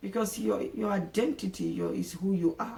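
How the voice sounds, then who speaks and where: The speaker is a woman. She talks with an African accent. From Nigeria. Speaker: vlogger. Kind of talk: casual monologue to camera. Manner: halting, many repetitions and fillers.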